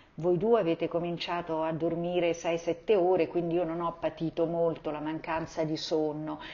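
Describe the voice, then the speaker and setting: Monotone, flat intonation at a moderate pace with hardly any pauses. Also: woman, fairly low pitch for a woman. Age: 60s. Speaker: mother of the host. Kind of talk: casual interview.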